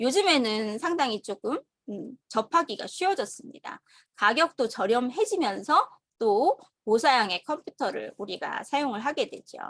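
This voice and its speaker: A woman's high-pitched voice at a fairly slow pace with very wide pitch swings, dry and close with no echo, on a very clean recording with a silent background. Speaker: online course instructor. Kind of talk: lecture. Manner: halting.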